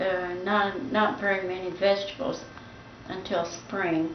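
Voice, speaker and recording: A woman's medium-pitched voice at a very slow pace, with audible room echo and noticeable background noise. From US Midwest, Indiana. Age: 90s. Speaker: grandmother recalling the Great Depression. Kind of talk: family interview. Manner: halting, with fillers.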